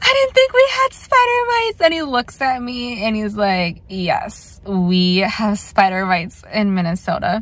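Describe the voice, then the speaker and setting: A woman's fairly slow speech, with a dry sound and no echo. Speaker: plant channel vlogger. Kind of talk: casual vlog chat. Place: car. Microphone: phone near.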